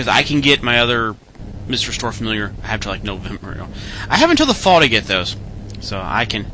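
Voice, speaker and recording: A man speaks in a relaxed tone at a fairly quick pace. There is noticeable background noise. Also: medium pitch for a man, ordinary pitch variation. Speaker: radio host. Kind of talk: casual radio DJ patter, rambling and conversational. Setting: internet radio show, live broadcast. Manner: relaxed, chatty, rambling with filler words and self-deprecating asides; plain-spoken, informal, mild cursing, answers fan questions.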